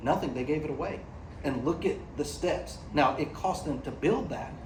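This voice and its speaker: Amid noticeable background noise and audible room echo, a man with an American accent speaks in an animated tone at a fairly high pitch. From United States. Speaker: AI company executive, panelist. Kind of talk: panel discussion. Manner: animated, conversational with repetitions.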